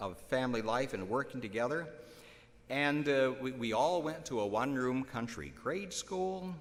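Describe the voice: Someone reads the words out plainly. The intonation rises and falls in a lively way.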